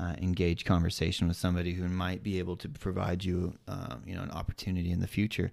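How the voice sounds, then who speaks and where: Very fast speech with hardly any pauses and fairly even intonation. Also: man, very deep, low pitch for a man, very clean recording, silent background. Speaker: podcast co-host. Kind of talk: casual chat. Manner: casual, filler-heavy.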